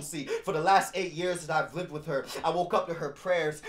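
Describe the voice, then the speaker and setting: Music plays in the background. Over it, a man with a high pitch speaks at a fairly quick pace. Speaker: spoken word poet. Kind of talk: spoken word poetry performance.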